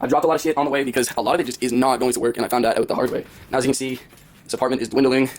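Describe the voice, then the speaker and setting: A man talks at a very fast pace with a medium pitch. Noticeable background noise is audible behind him. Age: 20s. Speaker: vlogger. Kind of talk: personal vlog monologue. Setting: apartment. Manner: animated.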